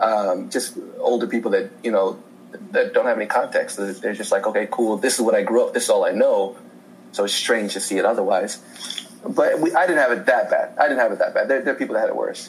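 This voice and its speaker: Over noticeable background noise, a man speaks fairly quickly with an American accent. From Indiana, US Midwest. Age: 30s. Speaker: podcast guest. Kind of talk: casual chat. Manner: halting.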